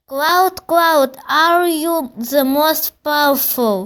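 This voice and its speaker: Speaking at a very slow pace, a woman uses a high-pitched, put-on character voice. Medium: read story. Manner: repetitive, pleading.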